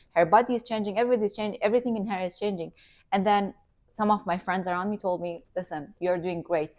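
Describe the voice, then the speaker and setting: Talking at a very fast pace in an Iranian accent, a woman uses a medium pitch with ordinary pitch variation against a quiet background. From Iranian family, raised in Qatar. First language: Farsi. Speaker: entrepreneur and influencer. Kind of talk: interview. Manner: animated.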